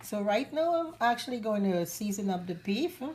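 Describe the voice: The intonation is lively and the pace moderate. The tone comes across slightly mellow. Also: woman.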